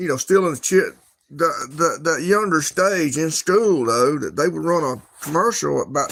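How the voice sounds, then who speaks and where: Speaking at a moderate pace, a man uses a fairly high pitch with lively intonation. The recording is very clean, with a silent background. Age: 60s. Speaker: livestreamer. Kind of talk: casual chat. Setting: livestream. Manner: halting.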